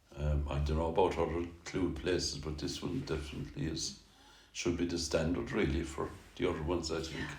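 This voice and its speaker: In a Kerry accent, a man with a very deep, low voice talks at a moderate pace, somewhat breathy and with fairly even intonation. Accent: Kerry Irish. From Tralee, Ireland. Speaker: musician. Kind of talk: interview answer.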